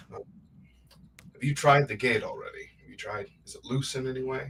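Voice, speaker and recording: A man puts on a raspy character voice with a fairly high pitch. He talks at a fairly quick pace with big swings in loudness. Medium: actual play. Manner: decisive.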